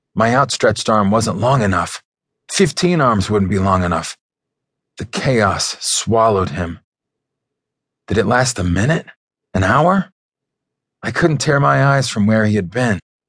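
Against a quiet background, a man with a fairly low pitch speaks with lively intonation and long, frequent pauses. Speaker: audiobook narrator. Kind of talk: dramatic audiobook narration, first-person action scene. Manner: tense, urgent, building to anguished shouts.

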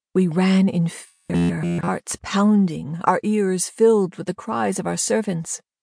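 A woman's medium-pitched voice, dry and close with no echo, with music behind it. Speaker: audiobook narrator. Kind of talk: dramatic audiobook narration, first person. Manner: tense, vivid, urgent storytelling.

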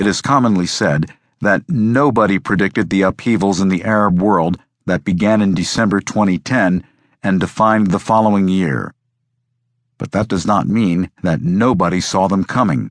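In a dry, close sound with no echo and a quiet background, a man with a fairly low pitch speaks in a dramatic tone at a moderate pace with ordinary pitch variation. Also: very even loudness. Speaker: audiobook narrator. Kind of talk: scripted narration, audiobook reading of a history book; dramatic narration. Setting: studio. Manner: measured, dramatic, formal.

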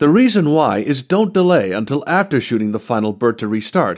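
Someone speaks at a moderate pace with very wide pitch swings over a quiet background. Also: man. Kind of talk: audiobook narration of a how-to strategy guide. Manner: clear, even, instructional delivery.

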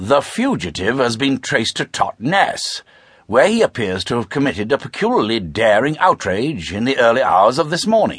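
This man's medium-pitched voice carries vocal fry and swings very widely in pitch. His tone is animated and theatrical, at a moderate pace. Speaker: audiobook narrator. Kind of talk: audiobook narration, unabridged classic crime fiction read aloud in character voices. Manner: animated, theatrical, shifting between suave upper-class dialogue and brisk narration; polished, crisp, period-style British delivery.

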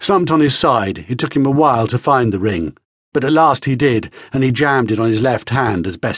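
Quiet background, with an unforced reading voice and ordinary pitch variation

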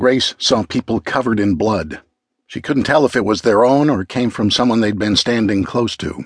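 An unforced reading voice carries ordinary pitch variation over a quiet background.

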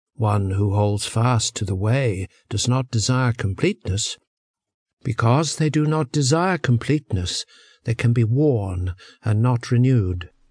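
A somewhat breathy, calm voice at a fairly slow pace with ordinary pitch variation, in a dry, close sound with no echo and a quiet background. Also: man, medium pitch for a man. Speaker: audiobook narrator. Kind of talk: audiobook reading of translated philosophical verse, scripted. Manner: slow, measured, calm; formal, contemplative, even-toned.

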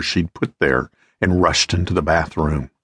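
A man with a very deep, somewhat breathy voice speaks in a menacing tone at a moderate pace, his intonation fairly even, recorded with a dry, close sound and no echo. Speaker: audiobook narrator. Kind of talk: dramatic audiobook narration of a tense thriller scene. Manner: tense, suspenseful, building urgency; voices the villain with a menacing growl and the heroine with a frightened plea.

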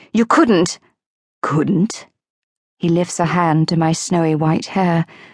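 A woman speaks at a fairly low pitch in a dramatic tone, with ordinary pitch variation and a very slow pace. The sound is dry and close, with no echo. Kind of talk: scripted audiobook narration of a fantasy novel. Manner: dramatic, tense, first-person voice full of urgency.

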